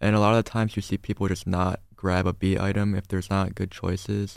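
A man with a fairly low pitch speaks in a monotone, flat intonation. The recording is very clean, with a silent background. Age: young. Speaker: university student. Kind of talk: radio interview.

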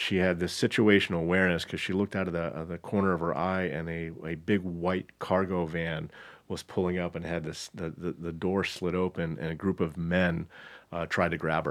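Speaking at a fairly quick pace with an American accent, a man uses a very deep, low, flat monotone on a very clean recording with a silent background. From Southern California. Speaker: human resources executive. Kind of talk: casual interview.

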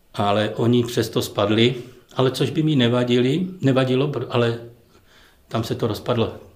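Somewhat breathy, a man speaks at a moderate pace amid audible room echo. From Ostrava, Czechia. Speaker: retired footballer. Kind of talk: casual interview. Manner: halting.

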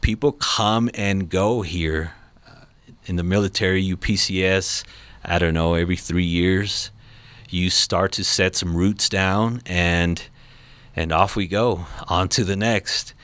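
Very deep and low, a man with an American accent speaks in fairly even intonation, leaving long, frequent pauses. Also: fairly slow pace. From Los Angeles, California. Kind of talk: radio talk on mental health. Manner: halting.

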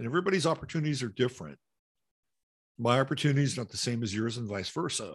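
A man talks very fast, in a medium pitch with a somewhat breathy sound and lively intonation. He leaves long, frequent pauses. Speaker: live-streaming show host. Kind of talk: casual commentary on news clips. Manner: casual, profane, sarcastic.

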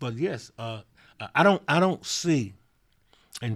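Someone speaks with a Mississippi accent in a very clean recording over a silent background. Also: man. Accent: Southern US (Mississippi). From Mississippi, Vicksburg. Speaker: mayor. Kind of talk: interview. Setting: on location in his city.

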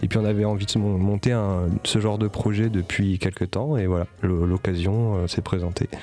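The voice moves at a fairly slow pace with hardly any pauses and very even loudness. It is an unremarkable speaking voice with fairly even intonation. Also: man, fairly low pitch for a man. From Paris. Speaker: jazz pianist and composer. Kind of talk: interview.

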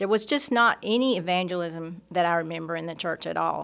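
A woman speaks with a Southern US accent at a moderate pace. Her pitch varies in an ordinary way. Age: 60s. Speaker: church staff member. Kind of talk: testimony. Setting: studio.

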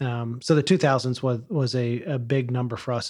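Over a quiet background, a man with an unremarkable speaking voice talks at a fairly quick pace, at medium pitch and with fairly even intonation. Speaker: podcast co-host. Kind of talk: casual chat.

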